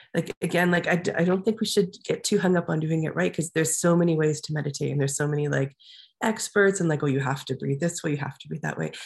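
Using vocal fry, a woman talks at a very fast pace with a very deep, low pitch. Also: ordinary pitch variation. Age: 40s. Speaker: life coach and artist. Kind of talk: interview. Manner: halting, many fillers.

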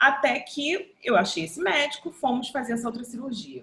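A woman talks at a moderate pace. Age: 50s. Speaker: photographer and journalist, breast cancer survivor. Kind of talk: testimony.

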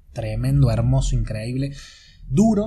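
A man speaks at a moderate pace, and audible room echo surrounds his voice. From Argentina, Córdoba. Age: 30s. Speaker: life coach. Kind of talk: podcast monologue. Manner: halting, many repetitions and fillers. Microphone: amateur recording, poor sound quality.

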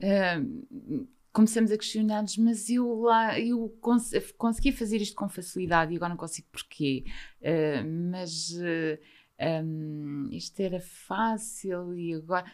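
Using a normal speaking voice, a woman talks at a fairly slow pace with medium pitch and lively intonation. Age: 50s. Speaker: mental health author. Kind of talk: interview testimony.

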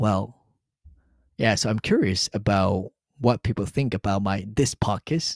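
A man with a Japanese accent speaks at a fairly low pitch and a fairly slow pace, with long, frequent pauses and ordinary pitch variation. The recording is very clean, with a silent background and a dry, close sound with no echo. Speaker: podcast host, Japanese teacher. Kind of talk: solo podcast monologue.

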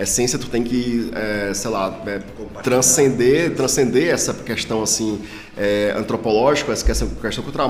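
Over noticeable background noise and audible room echo, a man with a Ceará accent speaks at medium pitch and a moderate pace. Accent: Northeastern Brazilian (Ceará). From Ceará, Brazil. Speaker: paleontology professor. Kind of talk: casual interview.

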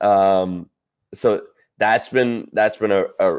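Recorded very cleanly with a silent background, a man has an unremarkable speaking voice, a fairly low pitch and ordinary pitch variation. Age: 20s. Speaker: sports content creator and broadcaster. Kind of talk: casual interview chat.

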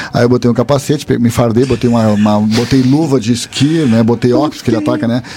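Talking at a very fast pace, a man with a medium pitch keeps his intonation fairly even over noticeable background noise. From Bagé, Rio Grande do Sul, Brazil. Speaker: guest storyteller. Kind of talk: casual storytelling.

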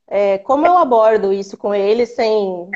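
Using an ordinary speaking voice, a woman talks at a fairly slow pace with a fairly high pitch and ordinary pitch variation. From interior of São Paulo state, Brazil. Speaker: pregnant caller. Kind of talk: live Q&A call-in.

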